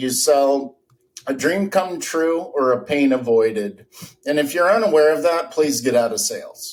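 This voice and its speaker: The intonation is lively. The pace is moderate. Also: man. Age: 50s. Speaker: architect. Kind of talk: podcast interview. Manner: animated.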